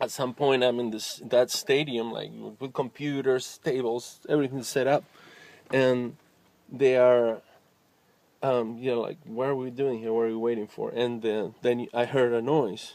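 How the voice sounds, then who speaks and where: At a moderate pace, a man in a Spanish accent speaks with a medium pitch and monotone, flat intonation. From Argentina. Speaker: musician. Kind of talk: personal vlog monologue. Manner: spontaneous, with fillers and hesitations.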